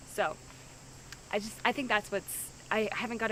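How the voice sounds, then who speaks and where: Over noticeable background noise, a woman speaks at a medium pitch. Her intonation is fairly even. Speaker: reality show contestant. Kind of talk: confessional interview. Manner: loud; hesitant, filler-heavy.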